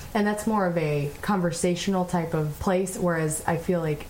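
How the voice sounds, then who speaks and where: Over noticeable background noise, a woman with a fairly low pitch speaks in a serious tone with fairly even intonation. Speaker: podcast host. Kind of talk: casual conversation with husband. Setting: recorded at home by a fire. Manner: serious, outgoing.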